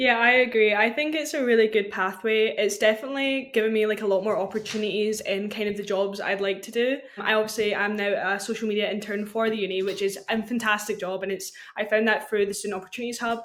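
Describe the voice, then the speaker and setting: At a very fast pace, a woman with a Scottish accent talks in a fairly high voice. Her intonation stays fairly even over noticeable background noise. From Scotland. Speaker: university student and social media intern. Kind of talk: casual podcast chat.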